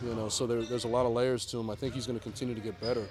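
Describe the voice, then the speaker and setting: The man's voice sits at a medium pitch. Audible room echo hangs around it. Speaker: NBA head coach. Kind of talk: press conference. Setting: media availability after practice. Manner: mumbling; halting, many fillers.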